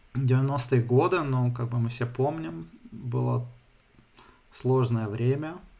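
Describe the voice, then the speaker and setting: Breathing somewhat audibly, a man speaks very slowly at a medium pitch, leaving long, frequent pauses, with audible room echo around him. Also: ordinary pitch variation. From St Petersburg, Russia, moved to Germany at 13. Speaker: software developer. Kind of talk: casual interview. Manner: halting, many fillers.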